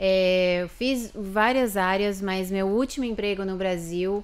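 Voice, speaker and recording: A woman's voice with ordinary pitch variation. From São Paulo, Brazil (Barueri area); São Paulo, Brazil. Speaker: lawyer and immigrant; podcast guest. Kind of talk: interview. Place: studio. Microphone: studio mic.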